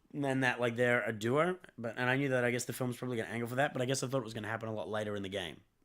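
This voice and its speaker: A man with a medium pitch talks at a very fast pace with hardly any pauses, his pitch varying in an ordinary way. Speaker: film podcast co-host. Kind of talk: casual debate about a film.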